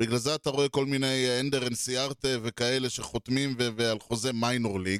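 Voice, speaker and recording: Medium in pitch, a man talks at a moderate pace with ordinary pitch variation. He has an unremarkable speaking voice. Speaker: podcast co-host. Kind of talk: casual chat.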